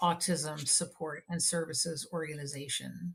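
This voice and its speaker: A woman with an American accent speaks in a fairly low, somewhat breathy voice with fairly even intonation. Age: 60s. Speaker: nonprofit executive. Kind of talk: interview podcast.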